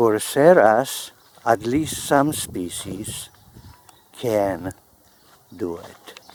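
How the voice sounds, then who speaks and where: A man with a fairly low pitch speaks at a very slow pace. He takes long, frequent pauses, yet his intonation is lively. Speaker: plant grower. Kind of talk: gardening tutorial.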